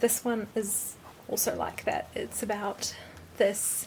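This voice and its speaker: A woman's very slow, monotone voice with flat intonation, medium in pitch, with a New Zealand accent. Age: 20s. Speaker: lifestyle vlogger. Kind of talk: casual talk to camera. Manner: chatty.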